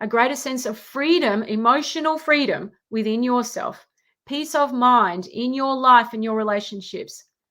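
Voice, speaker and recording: A woman with an Australian accent speaks at a moderate pace in a high voice with ordinary pitch variation, on a very clean recording with a silent background. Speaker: relationship coach. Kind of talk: live Q&A monologue with program pitch. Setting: livestream.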